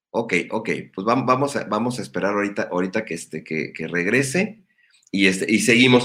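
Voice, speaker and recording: A man speaks at a moderate pace in a medium pitch. His intonation is lively. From Mexico, Ensenada. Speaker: online show host. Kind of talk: interview. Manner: halting.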